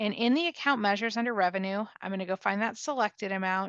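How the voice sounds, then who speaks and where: Against a quiet background, a woman talks at a medium pitch and a fairly quick pace. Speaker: software trainer. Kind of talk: tutorial. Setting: online workshop. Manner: fast.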